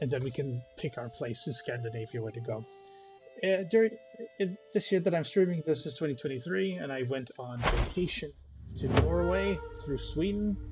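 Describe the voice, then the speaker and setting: Over music in the background, a man talks at a moderate pace in a medium pitch, his voice making very wide pitch swings. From Netherlands. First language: Dutch. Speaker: gaming streamer. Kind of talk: gameplay commentary. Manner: halting.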